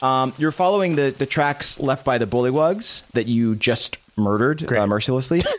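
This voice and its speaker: A man's medium-pitched voice at a moderate pace, with ordinary pitch variation, very even loudness and hardly any pauses. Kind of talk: dramatic narration of a tabletop role-playing game, scene-setting description. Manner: vivid, atmospheric, descriptive storytelling with hesitant, improvised pacing.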